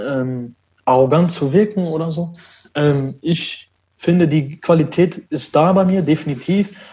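A man's high-pitched voice with a dark, mellow tone and ordinary pitch variation, fairly slow, with long, frequent pauses. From Germany, Düsseldorf. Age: 20s. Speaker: esports player. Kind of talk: interview. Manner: halting.

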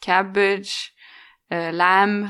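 The speaker has a Norwegian accent and a bright, sharp tone with monotone, flat intonation. The recording is very clean, with a silent background. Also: woman. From Norway. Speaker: expat professional. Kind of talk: casual interview.

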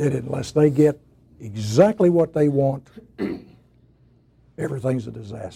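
With lively intonation and a fairly high pitch, a man talks at a moderate pace in a somewhat breathy, dark, mellow voice, leaving long, frequent pauses. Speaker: guest speaker. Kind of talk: speech to an audience.

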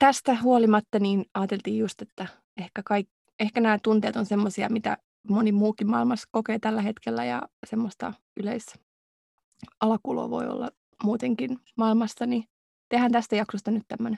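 A woman's fairly high pitch with a dark, mellow tone, monotone, flat intonation, long, frequent pauses and a dry, close sound with no echo. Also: moderate pace. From Finland. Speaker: podcast co-host, doctoral student. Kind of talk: casual chat. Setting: recording booth.

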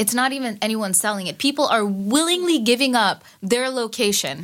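A fairly high-pitched woman with an American accent, lively intonation, and a moderate pace. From Queens, New York. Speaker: cybersecurity technologist. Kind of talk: casual chat.

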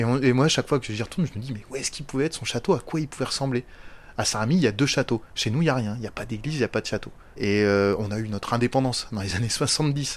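A man with a medium-pitched voice talks at a very fast pace with ordinary pitch variation. The recording is very clean, with a silent background. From northern France, Picardy. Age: 40s. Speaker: former prisoner. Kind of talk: testimony. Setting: at home.

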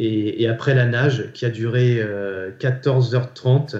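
Somewhat breathy and dark and mellow in tone, a man's medium-pitched voice holds fairly even intonation. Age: 40s. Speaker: endurance athlete and business leader. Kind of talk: interview.

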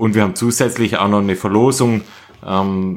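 On a very clean recording with a silent background, a man with a Swabian accent speaks in a fairly low pitch with fairly even intonation. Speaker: running podcast host. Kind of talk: casual chat.

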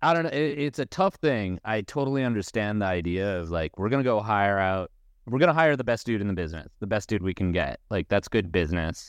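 A man has a normal speaking voice with a fairly low pitch, lively intonation and a fairly quick pace with hardly any pauses. The sound is dry and close with no echo, over a quiet background. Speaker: skateboarding writer and podcast co-host. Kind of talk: casual chat.

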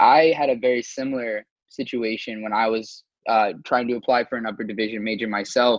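Here is a man with a normal speaking voice at a medium pitch. He talks at a fairly quick pace with fairly even intonation. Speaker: student podcast host. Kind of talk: interview.

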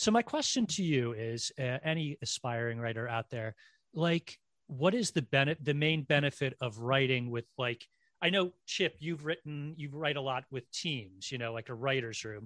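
Here a man has an ordinary speaking voice, fairly high in pitch, with ordinary pitch variation at a moderate pace. The sound is dry and close with no echo over a quiet background. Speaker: podcast host. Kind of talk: casual chat. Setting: video call.

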